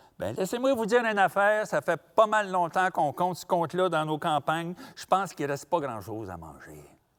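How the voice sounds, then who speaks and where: A high-pitched man with a Quebec accent, speaking at a fairly quick pace with hardly any pauses and lively intonation, on a very clean recording with a silent background. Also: big swings in loudness. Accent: rural Quebec French. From Quebec, rural. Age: 60s. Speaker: storyteller. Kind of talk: storytelling performance; interview.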